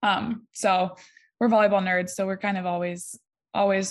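In a Midwestern US accent, a woman of medium pitch speaks at a moderate pace with monotone, flat intonation over a quiet background. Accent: US Midwest. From Ohio, small town. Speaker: college volleyball player. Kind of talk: interview.

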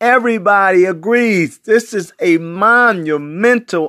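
Projecting a raised voice with a bright, sharp, animated tone, a man at a high pitch speaks with lively intonation in a very clean, dry, close recording with no echo and a silent background. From US, West Baltimore. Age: 60s. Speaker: video blogger. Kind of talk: political commentary monologue.

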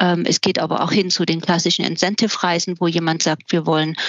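Here is an ordinary speaking voice from a woman, fairly low in pitch. She keeps a moderate pace and fairly even intonation. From eastern Germany. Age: 50s. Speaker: event and travel venue finder. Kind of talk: casual interview.

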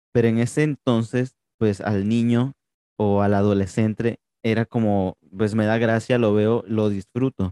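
With a dark, mellow tone at a medium pitch, a man talks at a fairly slow pace with fairly even intonation and very even loudness, the sound dry and close with no echo. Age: 20s. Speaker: podcast host. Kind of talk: interview.

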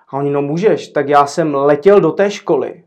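With a plain, everyday voice, a man talks at a fairly slow pace, his pitch fairly high and his intonation fairly even. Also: quiet background. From Czechia, Zlín. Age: 40s. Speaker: café owner. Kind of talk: casual interview.

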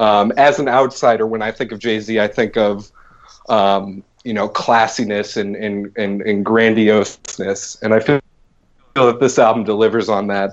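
A man speaks in an American accent at a moderate pace. His intonation stays monotone and flat. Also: fairly low pitch for a man. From Boston, US Northeast. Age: 20s. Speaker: podcast co-host. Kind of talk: casual chat.

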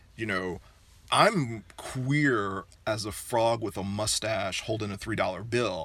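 A man speaks at a fairly slow pace in a fairly low pitch, his bright, sharp tone carrying ordinary pitch variation over a very clean recording with a silent background. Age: 40s. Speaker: sex educator. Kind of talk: casual chat.

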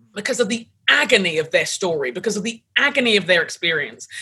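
A fairly quick, bright, sharp voice with vocal fry and very wide pitch swings. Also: woman. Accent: London. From London, England. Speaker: pastor, author and leadership coach. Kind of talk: interview conversation.

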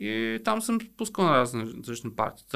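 In a very clean recording with a silent background, a man speaks with very wide pitch swings. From Bulgaria, Sliven and Nessebar. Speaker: DJ. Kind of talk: casual chat.

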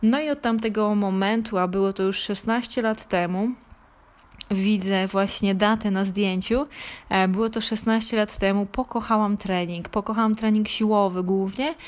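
A woman speaks at a fairly slow pace with medium pitch. Her intonation stays fairly even. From Poland, Lesser Poland (Małopolska). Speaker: online fitness coach. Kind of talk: personal story monologue. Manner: halting, with filler sounds.

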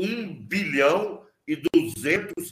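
A man's voice with very wide pitch swings. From southern Mato Grosso, Brazil. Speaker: politician. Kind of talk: interview. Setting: video call.

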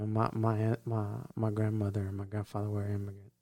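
With a Louisiana accent, a man speaks in a dark, mellow tone. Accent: Louisiana Southern US. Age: 40s. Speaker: podcast co-host. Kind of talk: casual chat. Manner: halting, repetitive.

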